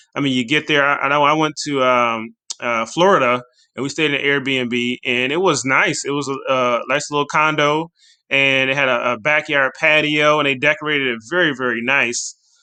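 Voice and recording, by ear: A man speaks at a medium pitch and moderate pace with fairly even intonation and a clear, smooth, bright, sharp tone.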